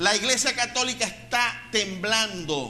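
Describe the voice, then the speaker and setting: A man's raised, projected voice at a fairly slow pace, in audible room echo. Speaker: pastor. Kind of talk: sermon.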